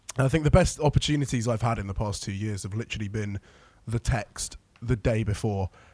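Somewhat breathy and medium in pitch, a man speaks at a very fast pace in a playful tone with ordinary pitch variation. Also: very clean recording, silent background. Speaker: podcast co-host. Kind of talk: casual chat. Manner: joking, playful.

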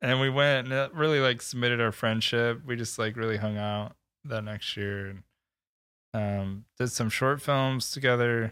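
A man with an American accent and an unremarkable speaking voice talks at a medium pitch and moderate pace with fairly even intonation, recorded very cleanly against a silent background. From Michigan. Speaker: filmmaker, production company owner. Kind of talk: casual chat.

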